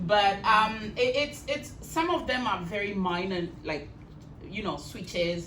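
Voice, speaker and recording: A woman at medium pitch with very wide pitch swings and a fairly slow pace, amid noticeable background noise and audible room echo. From Kenya. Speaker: storyteller. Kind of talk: talk to an audience.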